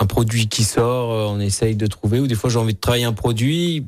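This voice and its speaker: A plain, everyday voice from a man, medium in pitch with ordinary pitch variation. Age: young. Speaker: chef. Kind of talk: radio interview. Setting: studio.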